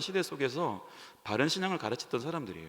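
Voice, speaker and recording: Talking at a fairly quick pace, a man with a fairly high pitch for a man shows vocal fry and very wide pitch swings. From Korea, Ulsan, rural. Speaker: pastor. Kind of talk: sermon.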